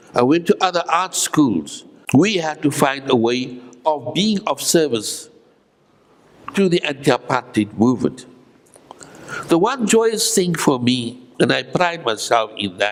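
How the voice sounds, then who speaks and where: A man's fairly high voice with very wide pitch swings, fairly slow pace and long, frequent pauses, over noticeable background noise. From Cape Town, South Africa. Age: 80s+. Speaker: artist and former political prisoner. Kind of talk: interview answer.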